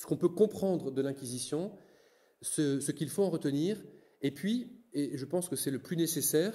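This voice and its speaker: A man talks at a fairly slow pace in a dark, mellow tone. His pitch is fairly high and his intonation lively. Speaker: Dominican friar giving a lecture. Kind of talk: lecture. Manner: halting, many repetitions and fillers.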